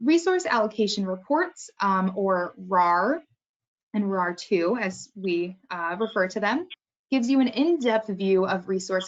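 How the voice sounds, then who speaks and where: At a fairly slow pace, a woman with a medium pitch talks in a normal speaking voice with ordinary pitch variation. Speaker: software trainer. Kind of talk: webinar tutorial.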